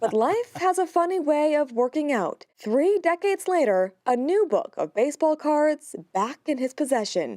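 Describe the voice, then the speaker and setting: A dark, mellow tone carries very wide pitch swings and very even loudness at a moderate pace, with hardly any pauses and a dry, close sound with no echo. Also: woman, high pitch for a woman. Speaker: TV news reporter. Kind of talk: TV news report narration.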